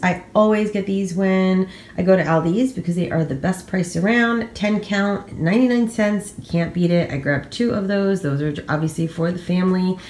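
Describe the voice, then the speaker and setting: Amid audible room echo, a woman talks at a moderate pace with hardly any pauses. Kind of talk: casual vlog chat. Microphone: phone near.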